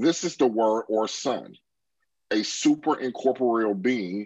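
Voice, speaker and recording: A man's medium-pitched voice, a plain, everyday voice, at a fairly slow pace with ordinary pitch variation. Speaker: class moderator.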